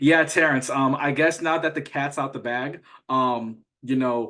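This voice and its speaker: A man with a medium pitch and an American accent speaks at a moderate pace with ordinary pitch variation. His tone is bright and sharp, and the background is quiet. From Atlanta, US South. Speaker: trading mentor. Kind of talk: casual graduation call speech. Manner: stutter.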